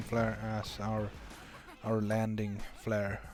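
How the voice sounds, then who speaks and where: A man with a non-native accent speaks at medium pitch. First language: not English. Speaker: game streamer. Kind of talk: live commentary. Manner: halting.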